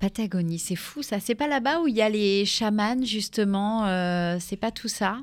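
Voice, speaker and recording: A woman's medium-pitched, ordinary speaking voice, fairly slow with hardly any pauses and ordinary pitch variation. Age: 30s. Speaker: radio host. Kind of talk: radio interview. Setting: studio.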